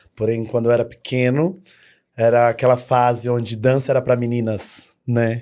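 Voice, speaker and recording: The recording is very clean against a silent background. A man speaks at a moderate pace in a dark, mellow tone. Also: medium pitch for a man. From São Paulo, Brazil. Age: 30s. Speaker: dance studio owner. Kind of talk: podcast interview. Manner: animated.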